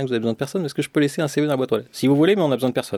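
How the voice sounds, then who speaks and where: A man's medium-pitched voice with a dark, mellow tone and lively intonation, in a very clean recording with a silent background and a dry, close sound with no echo. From France, Lyon. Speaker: sound engineer. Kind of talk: interview. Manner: halting.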